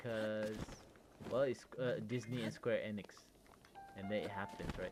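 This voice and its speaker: Fairly slow, fairly even speech from a man with a Malaysian accent, long, frequent pauses and noticeable background noise. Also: fairly low pitch for a man. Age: 30s. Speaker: gaming streamer. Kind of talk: casual chat. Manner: halting, many fillers.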